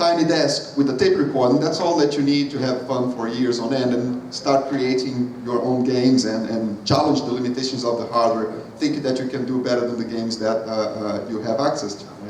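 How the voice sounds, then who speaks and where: The speaker has a Brazilian accent and keeps a moderate pace. Audible room echo and noticeable background noise are present. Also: man, hardly any pauses. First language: Portuguese. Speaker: game studio co-founder. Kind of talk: convention talk interview. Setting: stage with audience.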